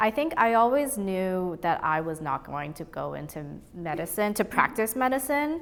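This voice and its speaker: A woman with a Boston accent speaks with very wide pitch swings. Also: medium pitch for a woman, moderate pace, big swings in loudness. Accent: American, Boston area. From Boston area (Brookline), moved from Taiwan as young child. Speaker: gallery owner. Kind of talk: interview. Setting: art gallery.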